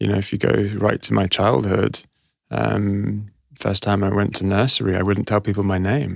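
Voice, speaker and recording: In a London accent, a man talks at a moderate pace with a fairly low pitch, vocal fry and ordinary pitch variation. His loudness stays very even, and the recording is very clean with a silent background. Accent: southern English (London). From London, England (born Glasgow, Egyptian parents). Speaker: actor and activist. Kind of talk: interview conversation. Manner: hesitant, many fillers.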